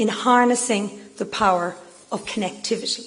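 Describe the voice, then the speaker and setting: With an Irish accent, the speaker keeps a moderate pace and fairly even intonation amid noticeable background noise. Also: woman. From Ireland. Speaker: business executive. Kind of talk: speech. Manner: formal.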